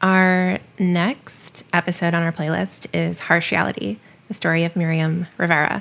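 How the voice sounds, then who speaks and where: Speaking at a fairly slow pace in a plain, everyday voice with ordinary pitch variation, the speaker is heard in a very clean recording with a silent background. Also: woman, fairly low pitch for a woman. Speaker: podcast company founder. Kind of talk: casual co-curator discussion.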